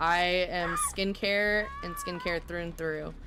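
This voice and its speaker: Fairly slow, fairly low-pitched speech from a woman, amid audible room echo and noticeable background noise. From US South. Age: 20s. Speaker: livestreamer and skincare professional. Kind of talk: casual live stream chat. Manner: animated.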